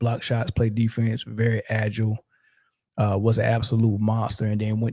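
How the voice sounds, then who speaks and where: Somewhat breathy and dark, mellow in tone, a man speaks at a moderate pace with monotone, flat intonation. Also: dry, close sound with no echo. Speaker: sports commentator. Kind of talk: casual commentary. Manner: casual, many fillers.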